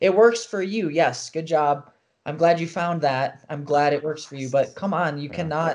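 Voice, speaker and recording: A man with an ordinary speaking voice, pitched fairly high for a man. He talks at a moderate pace, with big swings in loudness. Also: ordinary pitch variation. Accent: American. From US Midwest, rural Wisconsin. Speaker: parkour coach. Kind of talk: casual chat.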